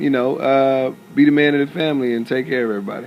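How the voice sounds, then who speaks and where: A man's very fast, medium-pitched speech with an American accent, ordinary pitch variation and noticeable background noise. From Southern California (Compton, Rialto). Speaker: actor. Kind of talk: interview.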